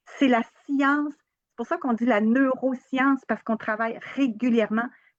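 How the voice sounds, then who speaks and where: This woman's voice is high-pitched, her intonation fairly even, and her pace moderate. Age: 60s. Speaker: holistic therapist and trainer. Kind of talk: interview. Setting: live video stream on social media.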